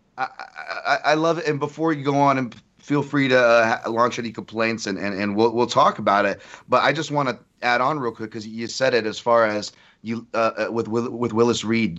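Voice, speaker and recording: Speaking at a fairly quick pace, a man uses a medium pitch with ordinary variation. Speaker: MMA journalist and analyst. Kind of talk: casual chat. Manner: halting.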